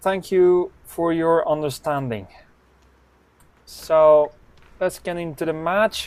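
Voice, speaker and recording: A man with a non-native accent speaks very slowly. His voice is high-pitched with ordinary pitch variation. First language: not English. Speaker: snooker commentator. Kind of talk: live commentary. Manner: non-native, some hesitation.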